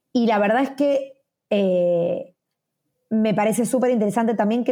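A woman talks at a medium pitch and a moderate pace. Her tone is dark and mellow, somewhat breathy, with lively intonation. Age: 40s. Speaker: media personality and startup founder. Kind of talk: interview.

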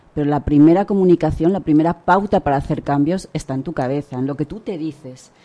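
With a Spanish accent, a woman talks at a very fast pace with hardly any pauses in a very deep, low voice of dark, mellow tone. Her pitch varies in an ordinary way. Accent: Peninsular Spanish. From Spain. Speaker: author and leadership consultant. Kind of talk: radio interview.

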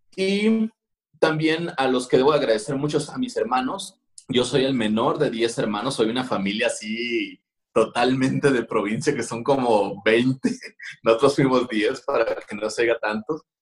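This man has a plain, everyday voice at a medium pitch with ordinary pitch variation. He talks at a fairly slow pace. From Mexico, Culiacán, Sinaloa. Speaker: street artist and graphic designer. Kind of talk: interview. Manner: casual, slangy.

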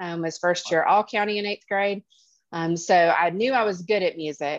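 A woman with an Alabama accent is heard in a dry, close sound with no echo. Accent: Southern US (Alabama). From Alabama, US South. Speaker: family law attorney. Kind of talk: casual interview. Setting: at the beach, remote.

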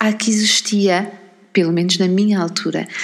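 With a European Portuguese accent, a woman talks at a moderate pace over noticeable background noise. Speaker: parenting podcaster. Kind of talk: solo podcast monologue.

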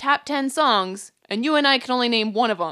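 A woman projects a raised, bright and sharp voice with lively intonation at a fairly slow pace, recorded dry and close with no echo. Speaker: podcast host. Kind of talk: casual chat.

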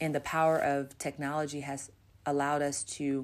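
A woman's very deep, low voice with an American accent, moderate pace and monotone, flat intonation, on a very clean recording with a silent background. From US West Coast, Los Angeles. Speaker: pastor. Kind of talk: interview.

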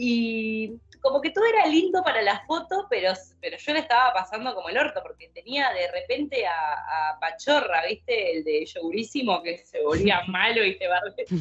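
A Rioplatense accent at a moderate pace, with very wide pitch swings. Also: woman, fairly high pitch for a woman. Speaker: podcast co-host. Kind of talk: casual chat.

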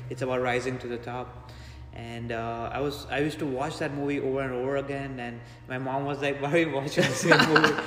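Over noticeable background noise, a man speaks very fast in a flat monotone at a medium pitch. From India (Mumbai). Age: 20s. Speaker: strength coach and powerlifter. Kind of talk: casual interview. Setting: in a gym.

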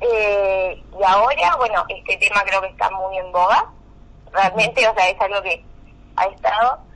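A woman with a plain, everyday voice speaks at a fairly slow pace, her medium pitch held in fairly even intonation. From Argentina, Valle Medio, Río Negro. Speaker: law student and student union president. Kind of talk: radio interview.

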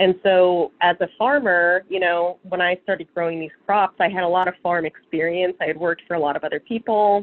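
This woman has an ordinary speaking voice. Her pitch sits fairly low. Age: 30s. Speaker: farmer and seed saver. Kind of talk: interview. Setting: remote call. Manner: casual with many fillers.

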